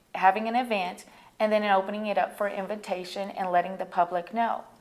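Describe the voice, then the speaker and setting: In a very clean recording with a silent background, a woman with an American accent uses a normal speaking voice at a medium pitch and a moderate pace. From Colorado. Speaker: auctioneer. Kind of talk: interview answer.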